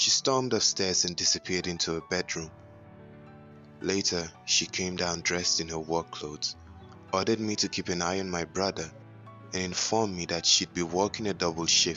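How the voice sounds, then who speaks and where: A very deep, low male voice with music in the background. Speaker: voice actor. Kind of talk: horror story narration. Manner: dramatic, enthusiastic.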